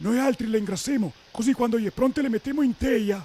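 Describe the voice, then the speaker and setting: Putting on a character voice, a man speaks fairly quickly at an extremely high pitch. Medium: dub.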